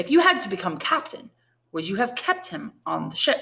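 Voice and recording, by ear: Doing a put-on character voice, a woman speaks at medium pitch and a moderate pace. Her bright, sharp tone has vocal fry and big pitch swings.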